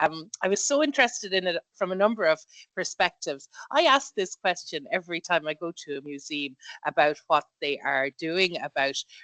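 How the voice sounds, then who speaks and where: Lively in intonation and fairly low in pitch, a woman uses a plain, everyday voice at a moderate pace, the sound dry and close with no echo. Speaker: audience member asking a question after a presentation. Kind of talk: polite, academic. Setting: online video meeting.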